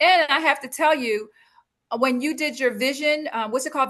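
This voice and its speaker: A high-pitched woman at a fairly quick pace, animated, with a bright, sharp tone. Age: 60s. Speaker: speaker and business coach. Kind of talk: interview conversation.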